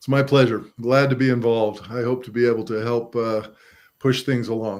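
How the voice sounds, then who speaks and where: A man at a medium pitch and moderate pace, with monotone, flat intonation. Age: 60s. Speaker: investor and developer. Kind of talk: casual interview chat.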